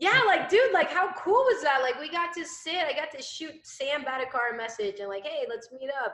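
Energetic, bright and sharp, a woman's high-pitched voice moves at a moderate pace with hardly any pauses, very wide pitch swings and big swings in loudness. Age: 20s. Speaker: entrepreneur and business coach. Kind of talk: casual interview.

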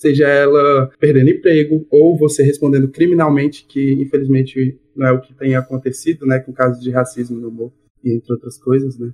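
A man with a fairly high pitch and a somewhat breathy voice talks at a fairly quick pace with hardly any pauses, his intonation monotone and flat but his loudness swinging widely, in a dry, close recording with no echo. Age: 20s. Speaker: stand-up comedian and engineer. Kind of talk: casual interview chat.

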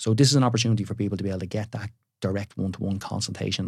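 A man's very deep, low voice in a Dublin accent, in a very clean recording with a silent background. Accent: Dublin Irish. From Ireland, Dublin area. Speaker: builder and TV presenter. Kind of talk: casual chat. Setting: studio.

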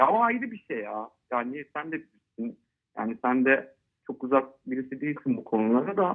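This man has an ordinary speaking voice, pitched fairly high. His intonation is lively and his pace moderate. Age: 30s. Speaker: football fan. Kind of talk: casual interview. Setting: phone call.

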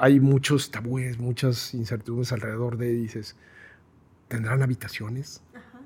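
A man talks at a fairly slow pace, medium in pitch and somewhat breathy. His intonation stays monotone and flat, while his loudness swings widely. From Guadalajara, Mexico. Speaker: process improvement consultant. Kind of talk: interview conversation.

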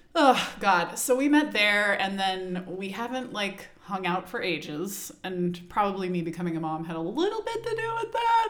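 A woman with an American accent, medium pitch and lively intonation, at a moderate pace with music in the background. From Texas. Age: 30s. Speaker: podcast host. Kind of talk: casual chat.

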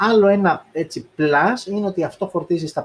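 A man speaks at a fairly slow pace. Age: 30s. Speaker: tech YouTuber. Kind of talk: tech review live stream. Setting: live stream on video. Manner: casual, many fillers.

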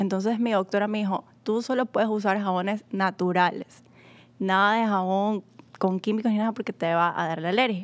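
Speaking at a moderate pace, a woman with an ordinary speaking voice keeps a medium pitch and fairly even intonation. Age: 20s. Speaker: sales and customer advisor. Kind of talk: casual promotional chat.

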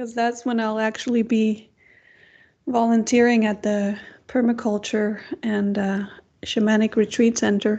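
Against a quiet background, a woman speaks at a fairly slow pace in a fairly high, dark, mellow voice, flat and monotone, with long, frequent pauses. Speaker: podcast host and Nordic shamanic practitioner. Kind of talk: casual interview chat.

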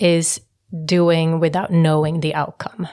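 A woman talks with monotone, flat intonation, keeping a fairly slow pace. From Sweden, Stockholm (Finnish parents). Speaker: real estate investor and entrepreneur. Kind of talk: casual chat. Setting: studio.

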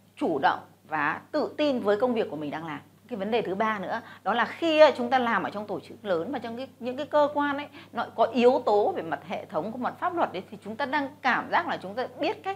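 Talking at a fairly quick pace, a woman with a fairly high pitch and vocal fry makes very wide pitch swings and big swings in loudness. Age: 40s. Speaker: businesswoman and investor. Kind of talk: motivational talk to camera.

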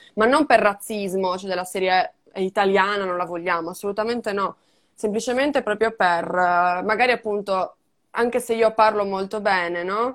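Speaking at a moderate pace, a woman has an ordinary speaking voice, her pitch medium and varying in an ordinary way. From Sardinia, Italy. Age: 20s. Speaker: digital strategist and podcaster. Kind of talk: casual interview.

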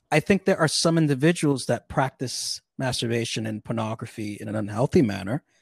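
Recorded very cleanly with a silent background and a dry, close sound with no echo, a man speaks at a moderate pace and medium pitch with lively intonation. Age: 30s. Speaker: streamer and podcast guest. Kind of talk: casual chat. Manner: halting.

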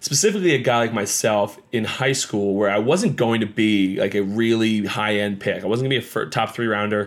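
A man with an American accent talks at a fairly quick pace with hardly any pauses, in a plain, everyday voice. His medium pitch shows ordinary variation, and his loudness stays very even. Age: 30s. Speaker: podcast host, former baseball pitcher. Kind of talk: casual solo podcast talk. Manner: casual, filler-heavy.

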